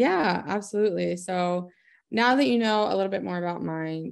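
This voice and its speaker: A woman with an American accent talks at a fairly low pitch. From Maryland, Eldersburg; Maryland. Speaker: small business owner. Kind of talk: interview. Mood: warm, friendly. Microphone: video call.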